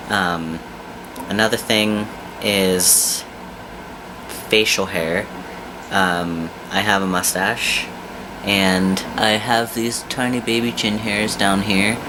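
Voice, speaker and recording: Heard with audible room echo and noticeable background noise, a man speaks very slowly in a fairly low pitch, his intonation fairly even and broken by long, frequent pauses. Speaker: vlogger. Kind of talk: casual vlog update. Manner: frequent filler ums.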